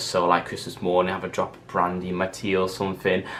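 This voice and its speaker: A man with a Mancunian accent, very deep and low, in a flat monotone at a very fast pace, with noticeable background noise. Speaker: vlogger. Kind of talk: casual vlog monologue.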